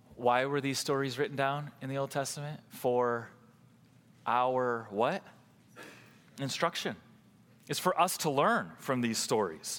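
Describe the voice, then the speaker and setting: Speaking at a fairly slow pace with long, frequent pauses, a man uses a medium pitch and ordinary pitch variation on a very clean recording with a silent background. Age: 30s. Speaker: pastor. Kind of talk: sermon.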